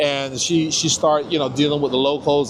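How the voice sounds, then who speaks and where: Over noticeable background noise, a man with a Caribbean accent talks at a fairly quick pace in a monotone, flat intonation. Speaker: local interviewee. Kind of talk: casual interview. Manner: halting, many repetitions.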